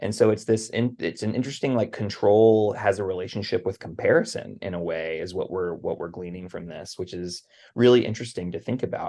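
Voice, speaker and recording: A man speaks at a fairly quick pace with a Southern US accent. His pitch sits fairly low, and the background is quiet. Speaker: podcast host. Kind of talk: casual podcast discussion.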